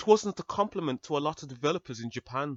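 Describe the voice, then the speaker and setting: Putting on a whiny character voice, a man speaks very fast at a fairly high pitch. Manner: mocking, whiny.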